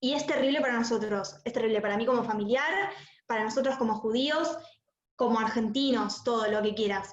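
Amid audible room echo, a woman talks at a moderate pace with a fairly high pitch. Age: 20s. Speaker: relative of a terror attack victim. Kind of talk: testimony. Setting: video call.

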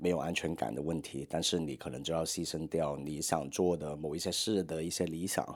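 Vocal fry at a fairly quick pace, with fairly even intonation, hardly any pauses, and a very clean recording over a silent background. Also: man, very deep, low pitch for a man. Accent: Hong Kong. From Hong Kong. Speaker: podcast host and documentary studio head. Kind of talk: advice podcast reading and replying to letters. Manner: hesitant with many fillers.

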